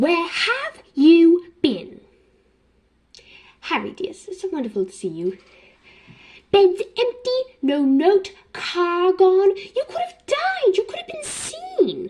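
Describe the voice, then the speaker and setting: Using a put-on character voice in a British accent, a woman talks very slowly at an extremely high pitch, leaving long, frequent pauses. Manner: frantic, scolding.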